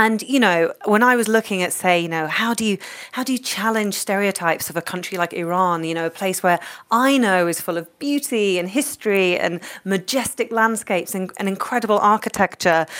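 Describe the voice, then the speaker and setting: The speaker has a London accent and ordinary pitch variation. The pace is fairly quick. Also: woman, medium pitch for a woman. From London, England. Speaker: cookbook author. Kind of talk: interview.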